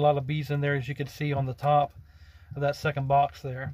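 A somewhat breathy man at a moderate pace, fairly even intonation, dry sound with no echo. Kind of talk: casual vlog chat. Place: car. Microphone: phone near.

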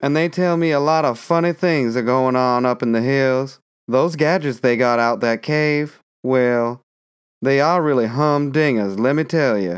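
A man's put-on character voice, drawling at a moderate pace with a medium pitch and ordinary pitch variation, on a very clean recording with a silent background. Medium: read story. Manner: drawling, folksy, deferential.

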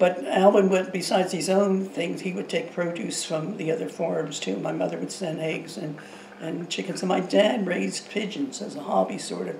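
A woman speaks at a moderate pace in a fairly low pitch with ordinary pitch variation. Light background noise and audible room echo are present. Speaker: interviewee. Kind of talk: interview answer. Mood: nostalgic, calm. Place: kitchen.

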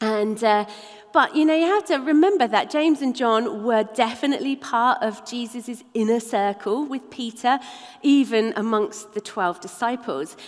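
Her voice is high for a woman, with lively intonation, as she talks at a fairly slow pace. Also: quiet background. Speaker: preacher. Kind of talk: sermon. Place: church.

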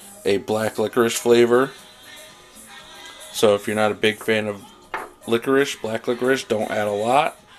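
With faint music in the background, a man talks at a moderate pace, fairly low pitch and fairly even intonation. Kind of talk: tutorial. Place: kitchen. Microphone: phone near.

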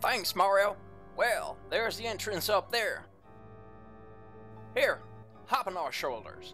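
A female-sounding, put-on character voice at a fairly slow pace with long, frequent pauses, clear music in the background. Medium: fan dub. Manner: exasperated, then relieved.

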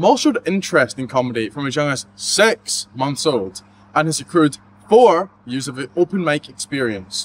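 A man with lively intonation speaks at a fairly quick pace over light background noise. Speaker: mock news reporter. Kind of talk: parody news report. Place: street. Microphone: handheld.

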